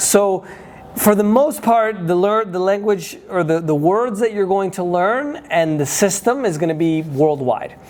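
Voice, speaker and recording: Someone talks at a fairly slow pace with noticeable background noise. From United States. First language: Spanish. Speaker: day trading educator and travel vlogger. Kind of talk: casual vlog talk. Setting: indoors at trading office. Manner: halting, many fillers.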